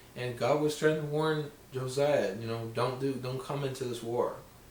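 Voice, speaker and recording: Amid noticeable background noise and audible room echo, a man talks at a medium pitch and a moderate pace. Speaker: Bible video creator. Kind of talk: casual Bible talk. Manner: halting.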